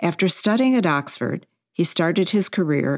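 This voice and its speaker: Fairly low in pitch, a woman talks at a fairly quick pace with a normal speaking voice. The sound is dry and close, with no echo. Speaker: podcast host and editor. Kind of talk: interview. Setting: remote call.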